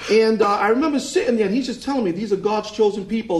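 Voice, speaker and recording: A man with an American accent, high-pitched, with ordinary pitch variation and noticeable background noise. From Massachusetts, US. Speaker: Bible prophecy teacher and preacher. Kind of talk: interview, testimony.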